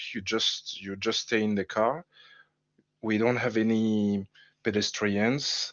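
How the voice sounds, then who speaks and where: A man with a strong French accent speaks at a very slow pace and fairly low pitch, with fairly even intonation and long, frequent pauses. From France. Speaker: game level designer. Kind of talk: casual livestream chat. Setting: livestream. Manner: halting, hesitant.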